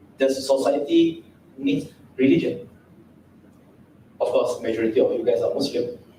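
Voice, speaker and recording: A man's voice with audible room echo. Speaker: Islamic preacher. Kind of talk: lecture. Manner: interactive with audience.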